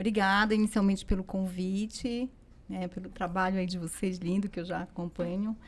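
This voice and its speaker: A woman of medium pitch speaks at a moderate pace, somewhat breathy, with monotone, flat intonation. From Belém, Pará, northern Brazil. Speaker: tarot teacher. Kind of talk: interview.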